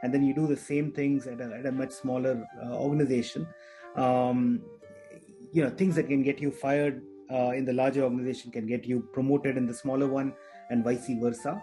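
Faint music plays behind a man whose pitch varies in an ordinary way. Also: fairly quick pace. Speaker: podcast guest. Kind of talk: interview answer. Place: home room. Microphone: video call.

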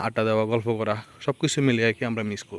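Medium-pitched male voice, dry and close with no echo. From Bangladesh, Lakshmipur. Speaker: village vlogger. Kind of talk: walking vlog narration. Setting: outdoors on a muddy village road.

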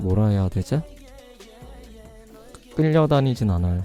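A man speaking at a fairly slow pace with lively intonation, music playing in the background. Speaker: ASMR streamer. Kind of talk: casual live-stream chat with viewers. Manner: relaxed, chatty.

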